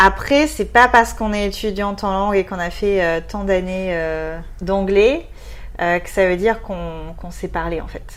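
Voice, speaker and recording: Big swings in loudness from a woman at a moderate pace. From southwest France. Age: 20s. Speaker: expatriate interviewee. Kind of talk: casual interview.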